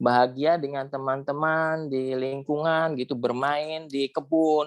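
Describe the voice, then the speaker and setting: In a dry, close sound with no echo, a man with an ordinary speaking voice talks at a fairly slow pace and a fairly high pitch. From West Java, Indramayu and Cirebon area. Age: 50s. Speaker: alumnus sharing life story. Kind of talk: interview testimony.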